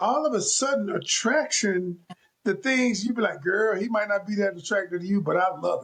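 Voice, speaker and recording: A loud man with a high pitch speaks at a moderate pace, with ordinary pitch variation. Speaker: relationship coach. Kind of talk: casual chat. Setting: video call. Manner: animated.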